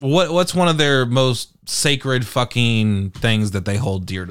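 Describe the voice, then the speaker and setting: A man with an American accent speaks with lively intonation on a very clean recording with a silent background. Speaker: podcast host. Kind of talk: angry unplanned rant, heated and profane. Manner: baffled, incredulous, sarcastic.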